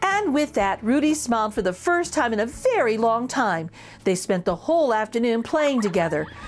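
Lively intonation in a natural reading voice

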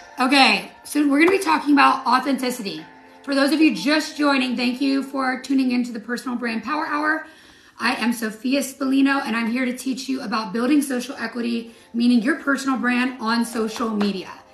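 A woman with a high voice talks at a fairly quick pace with ordinary pitch variation, with faint music in the background and audible room echo. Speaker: social media coach and live stream host; social media coach, live stream host. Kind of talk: live stream chat with viewers. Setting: live stream with theme music. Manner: gets loud when excited; animated. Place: home room. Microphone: phone near.

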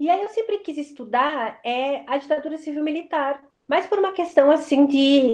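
Against a quiet background, a woman speaks with a high pitch and ordinary pitch variation. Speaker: professor. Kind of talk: interview answer. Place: home room. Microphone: webcam.

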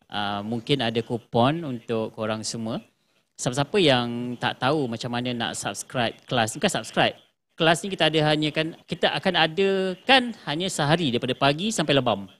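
The man's delivery has a moderate pace and lively intonation. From Malaysia. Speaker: livestream host of a video production channel. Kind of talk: casual livestream chat. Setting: live stream on social media. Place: studio.

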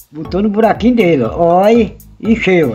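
A man's fairly slow speech comes over faint background music. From Pernambuco, Brazil. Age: 60s. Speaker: retiree. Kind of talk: home how-to demonstration. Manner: casual, repetitive. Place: home room. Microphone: phone near.

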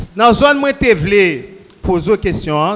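With a Haitian accent, a man talks at a fairly slow pace. His pitch is high. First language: Haitian Creole (speaking French). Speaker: church member with legal training. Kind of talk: Q&A session. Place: church. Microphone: handheld.

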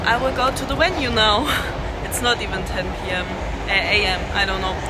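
Loud background noise surrounds a woman who talks at a moderate pace. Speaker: vlogger travelling to a concert. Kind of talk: casual vlog chat. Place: station. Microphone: phone near.

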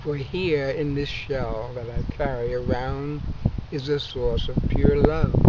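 Over loud background noise, a man speaks at a very slow pace in a dry sound with no echo. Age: 70s. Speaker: poet. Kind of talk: poetry reading. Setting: outdoors. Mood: calm, warm, reflective. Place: garden.

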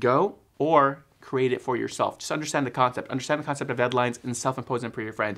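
Over a quiet background, a man with an American accent talks at a very fast pace, his pitch medium and his intonation fairly even. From Texas suburbs. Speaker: filmmaker and video editor. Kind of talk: casual vlog talk to camera. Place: home room.

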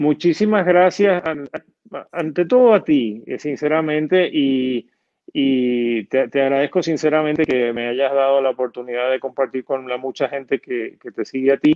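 This is a man in an ordinary speaking voice, fairly high-pitched with ordinary pitch variation. He talks at a fairly slow pace over a quiet background. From Puerto Rico, Argentine parents. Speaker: comedian and TV/radio producer. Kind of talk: casual interview. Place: home room. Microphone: video call.

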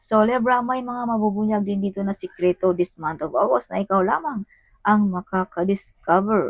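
At a moderate pace, a woman speaks with a medium pitch and ordinary pitch variation, the sound dry and close with no echo. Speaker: tarot reader. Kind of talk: tarot reading. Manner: animated.

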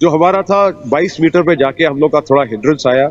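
Pacing himself fairly slowly, a man speaks. His pitch varies in an ordinary way. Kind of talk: interview answer. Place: open country.

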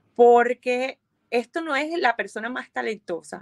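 Against a quiet background, a woman speaks at a fairly slow pace. Her intonation is lively. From Colombia, Montería / Barranquilla (Caribbean coast); Colombia. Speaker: violinist and DJ; DJ. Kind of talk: interview. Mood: warm, upbeat, reflective. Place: home room. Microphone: video call.

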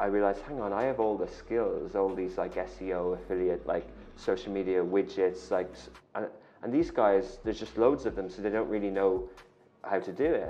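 This man speaks with an Irish accent. His pace is fairly quick. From Ireland. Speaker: media company founder and CEO; guest. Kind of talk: interview. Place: studio. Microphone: lapel.

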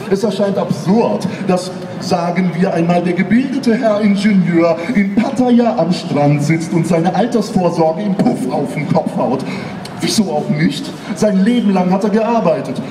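A man talks at a fairly slow pace and high pitch, with ordinary pitch variation. Noticeable background noise is present. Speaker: slam poet. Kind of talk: poetry slam performance. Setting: live stage. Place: stage. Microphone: camera far.

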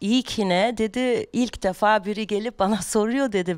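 A quiet background lies behind talking at a moderate pace. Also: woman. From Germany. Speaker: rapper; podcast guest. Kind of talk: casual chat; interview answer. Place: studio. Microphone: studio mic.

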